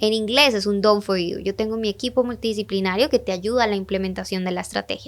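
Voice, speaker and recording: Speaking very fast with an animated tone, a woman with a Latin American accent holds a medium pitch. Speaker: digital marketing mentor and entrepreneur. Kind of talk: podcast interview.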